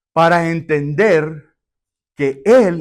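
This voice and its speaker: The recording is very clean with a silent background as a man with a fairly high pitch speaks in very wide pitch swings. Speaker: pastor. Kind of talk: sermon.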